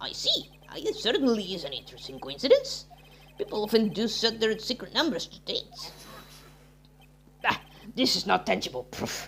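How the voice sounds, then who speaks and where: A fairly high put-on character voice at a moderate pace, broken by long, frequent pauses. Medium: game stream.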